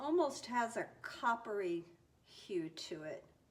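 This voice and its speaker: A woman speaks at a very slow pace with very wide pitch swings. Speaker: fluid art painter. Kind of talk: tutorial. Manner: casual, chatty.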